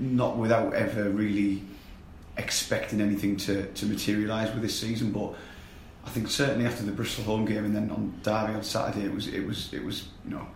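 Speaking at a fairly quick pace, a man keeps his fairly low voice to little pitch movement while room echo is audible.

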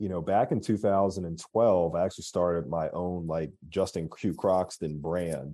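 The voice has a dark, mellow tone and an American accent, with fairly even intonation. It moves at a fairly slow pace against a quiet background. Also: man. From Philadelphia, US. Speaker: marketing agency CEO. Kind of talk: interview.

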